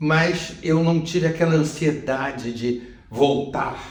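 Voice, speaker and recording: Audible room echo and noticeable background noise both surround the man as he talks. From Brazil, Rio de Janeiro. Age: 70s. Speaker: retired TV journalist and executive. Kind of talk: interview conversation. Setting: in-person interview in Lisbon. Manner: halting, with repetitions.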